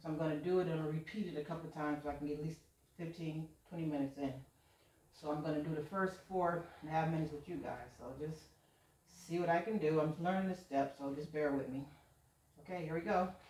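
Talking at a very fast pace, a woman with a very deep, low pitch keeps her intonation fairly even while the room echo is audible. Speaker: vlogger. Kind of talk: casual vlog chat. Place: home room.

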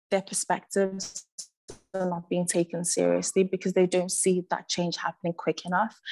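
A woman speaks with a Liverpool accent in a monotone, flat intonation. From Liverpool area, born in Zimbabwe. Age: 20s. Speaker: artist and youth project producer. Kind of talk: presentation. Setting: video call. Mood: earnest, reflective. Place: home room. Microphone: video call.

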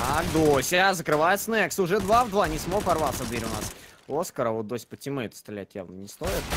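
Against noticeable background noise, a man with a fairly high voice speaks at a moderate pace, with very wide pitch swings and big swings in loudness. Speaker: esports commentator. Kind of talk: live esports commentary.

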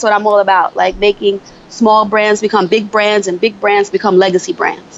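Noticeable background noise accompanies a female speaker who talks at a moderate tempo in an American accent. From upstate New York (Buffalo). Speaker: beauty consultant and author. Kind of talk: interview podcast. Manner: halting, many fillers.

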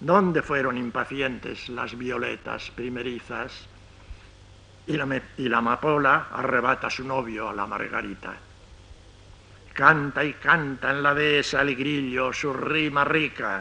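Speaking at a fairly slow pace with long, frequent pauses, a man keeps his intonation fairly even. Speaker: poet reciting his own poem. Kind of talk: poetry reading. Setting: old radio archive recording. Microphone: old recording.

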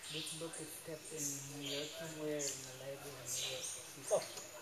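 Loud background noise surrounds the speaker. A man talks at a fairly slow pace. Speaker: tour guide. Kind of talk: guided tour explanation. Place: tunnel cave. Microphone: camera far.

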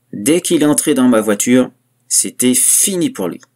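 Lively intonation runs through a man's plain, everyday voice. He keeps a moderate pace. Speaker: creepypasta narrator. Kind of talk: horror story narration, first-person parody as a killer. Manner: darkly gleeful, conspiratorial, relishing gruesome details.

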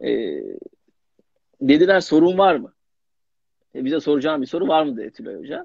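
In a dry recording with no echo and a quiet background, a man speaks at a moderate pace. He leaves long, frequent pauses, and his loudness swings widely. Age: young. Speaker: young actor. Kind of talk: casual interview. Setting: Instagram live video call. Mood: relaxed, smiling. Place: home room. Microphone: video call.

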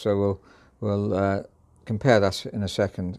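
A man with an ordinary speaking voice, fairly low pitch and a moderate pace, over a quiet background. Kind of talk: product walkthrough commentary. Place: shop. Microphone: phone near.

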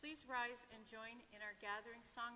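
A woman talks at a fairly slow pace with monotone, flat intonation over light background noise. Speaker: lector or commentator at Mass. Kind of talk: liturgical announcements. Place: church.

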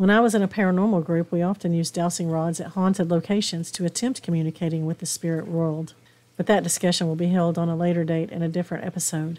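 Woman with a Southern US accent, a dark, mellow tone and fairly low pitch. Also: fairly even intonation. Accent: Southern US drawl. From East Tennessee, southern US. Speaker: podcast host, spiritual practitioner. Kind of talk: spiritual podcast talk. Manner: warm, hospitable.

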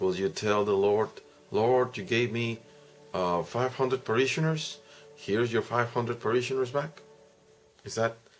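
Faint music plays behind a man who talks with ordinary pitch variation and long, frequent pauses. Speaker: priest explaining the gospel. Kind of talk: homily-style reflection. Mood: earnest, reflective, exhorting. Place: home room. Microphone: webcam.

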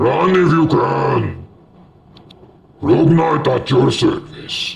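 A woman uses a raspy put-on character voice at a fairly low pitch with ordinary pitch variation. She speaks at a very slow pace. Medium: voice reel.

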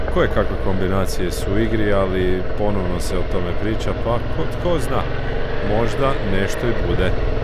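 Moderate pace with loud background noise and a dry sound with no echo. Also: man. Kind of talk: casual moto-vlog commentary. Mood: relaxed, informative. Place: motorbike. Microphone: helmet.

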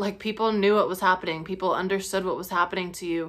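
A woman speaks with fairly even intonation over a quiet background. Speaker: spiritual teacher vlogger. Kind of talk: casual vlog chat. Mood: calm, earnest, sometimes laughing. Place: home room. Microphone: phone near.

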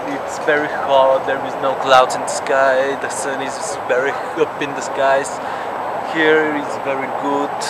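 Loud background noise runs behind a man. He speaks at a fairly slow pace, and the sound is dry with no echo. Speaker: vlogger. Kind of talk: casual vlog chat. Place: garden. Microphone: phone near.

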